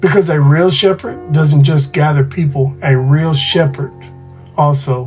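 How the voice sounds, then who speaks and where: The voice has ordinary pitch variation, with music playing in the background. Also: man. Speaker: podcast host. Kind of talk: sermon-style podcast monologue.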